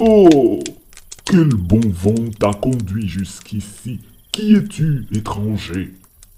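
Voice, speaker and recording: A man's put-on character voice at medium pitch, very slow in pace, with lively intonation. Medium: read story. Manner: faint, murmuring.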